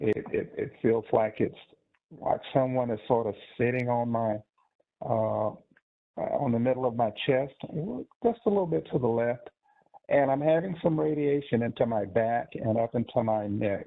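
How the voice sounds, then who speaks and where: With an American accent, a man speaks at a moderate pace and medium pitch, showing ordinary pitch variation and long, frequent pauses. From Texas. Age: 60s. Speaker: cardiologist. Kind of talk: webinar presentation. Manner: halting, many fillers.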